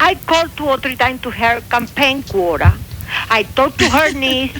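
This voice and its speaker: Over music in the background, a woman with a strong Cuban accent speaks at a moderate pace in a high pitch with ordinary pitch variation. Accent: heavy Cuban Spanish. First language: Spanish. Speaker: radio show caller.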